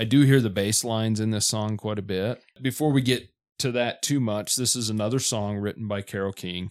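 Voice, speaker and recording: Heard in a very clean recording with a silent background, a man has an unremarkable speaking voice, fairly low in pitch and fairly even in intonation, and he talks at a fairly quick pace. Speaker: podcast host. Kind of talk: casual album review chat.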